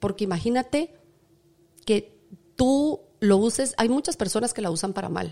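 The voice has a dark, mellow tone and lively intonation, moving at a moderate pace. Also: woman. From Guatemala. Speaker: chef and TV presenter. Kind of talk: interview conversation. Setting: restaurant kitchen set.

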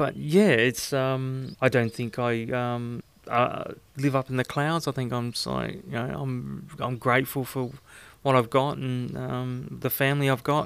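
A man's medium-pitched voice with an Australian accent, fairly slow in pace and fairly even in intonation. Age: 50s. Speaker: host's partner, interviewee. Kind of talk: casual interview. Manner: halting, many fillers.

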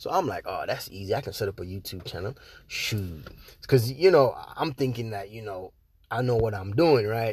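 A man with an American accent, medium pitch, lively intonation and a somewhat breathy sound, at a moderate pace, on a very clean recording with a silent background. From outside the US. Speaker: podcast host, internet marketer. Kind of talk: casual solo podcast monologue. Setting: podcast. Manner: casual, slangy, energetic.

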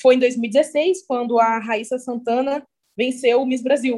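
Her pace is fairly slow. This woman speaks with a high pitch. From interior of São Paulo state (Cruzeiro, near Rio border). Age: 20s. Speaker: model and beauty pageant titleholder. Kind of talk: casual interview.

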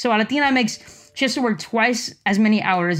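With music in the background, a woman speaks at a fairly quick pace. Her intonation is lively. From Los Angeles, Mexican-American community. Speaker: product manager. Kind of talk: interview.

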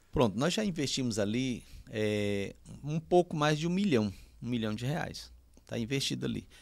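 An unremarkable speaking voice with lively intonation, at a moderate pace. The recording is very clean, with a silent background. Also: man, medium pitch for a man. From Piauí, Brazil (União, rural). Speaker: pastor. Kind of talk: casual interview.

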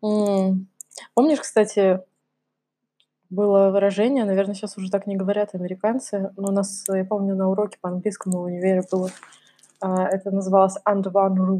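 A normal speaking voice from a woman, medium in pitch, at a moderate pace. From Russia, Kamchatka. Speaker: podcast co-host. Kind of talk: casual chat.

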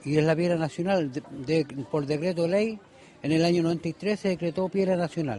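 Over noticeable background noise, a man talks at a moderate pace with a high pitch and ordinary pitch variation. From Chile, Ovalle. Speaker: stone artisan. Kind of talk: interview at market stall. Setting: outdoors at craft fair.

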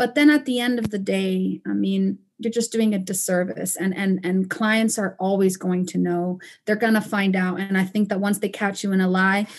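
Over a quiet background, a woman speaks at a moderate pace and medium pitch, somewhat breathy, with fairly even intonation and hardly any pauses. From Panama and Costa Rica. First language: Spanish. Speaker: roofing company owner. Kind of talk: podcast interview.

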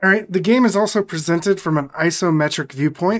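On a very clean recording with a silent background, a man speaks in an unremarkable speaking voice with ordinary pitch variation. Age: 40s. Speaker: podcast guest, video game fan. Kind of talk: casual chat.

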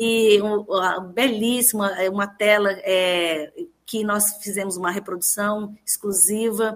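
A woman speaks with monotone, flat intonation. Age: 50s. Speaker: university rector. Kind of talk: radio interview. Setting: speaking remotely from her home living room.

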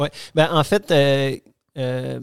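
A man speaks at a fairly high pitch. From Quebec City, Quebec. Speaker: organic vegetable farming network member. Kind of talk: casual interview. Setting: host's home. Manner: halting.

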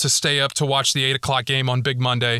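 Speaking at a moderate pace with an American accent, a man has a fairly high pitch and a bright, sharp tone. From US South, North Texas. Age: 30s. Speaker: sports podcast host. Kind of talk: casual monologue. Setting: home closet recording.

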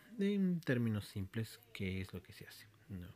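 Dark, mellow male voice swinging very widely in pitch. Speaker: podcaster and programmer. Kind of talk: solo monologue podcast. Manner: halting with frequent fillers.

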